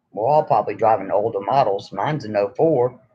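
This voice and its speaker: Speaking at a fairly quick pace in an American accent, a man has a somewhat breathy voice with a dark, mellow tone. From New York. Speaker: YouTuber. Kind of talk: casual live stream chat. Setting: live stream.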